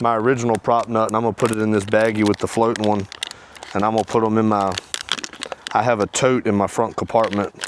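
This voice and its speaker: The man's voice is fairly low and animated in tone. Background noise is noticeable. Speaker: outdoors video creator. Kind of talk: tutorial. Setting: outdoors. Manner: fast; casual, animated.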